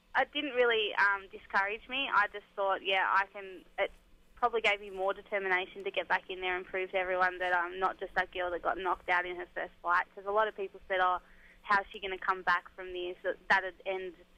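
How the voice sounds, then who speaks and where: Speaking fairly quickly in an Australian accent, the voice keeps a fairly even intonation but swings widely in loudness. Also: woman, medium pitch for a woman. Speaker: MMA fighter. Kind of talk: radio interview.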